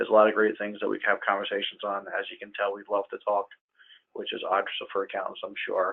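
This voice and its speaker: A man talking at a very fast pace. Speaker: accountant. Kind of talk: webinar presentation.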